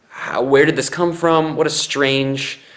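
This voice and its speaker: A man talks at a fairly slow pace with audible room echo around his voice. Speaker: vlogger. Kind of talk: casual vlog. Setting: in a mosquito tent on bed. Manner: loud.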